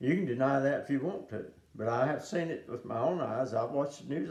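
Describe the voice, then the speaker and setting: A man with a medium-pitched voice talks in a space with audible room echo. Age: 70s. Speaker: preacher. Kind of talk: sermon. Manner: halting, many fillers.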